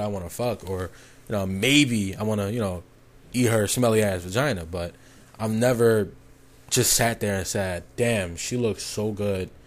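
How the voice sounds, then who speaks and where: Ordinary pitch variation at a moderate speed. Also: man. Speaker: vlogger. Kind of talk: casual monologue. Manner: animated.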